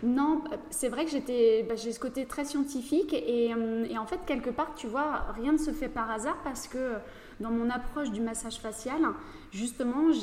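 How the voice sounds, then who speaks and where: This woman speaks at a high pitch with ordinary pitch variation. Her pace is moderate. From northeastern France (Château-Thierry, near Reims). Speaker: facialist and massage therapist. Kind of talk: casual interview. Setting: studio.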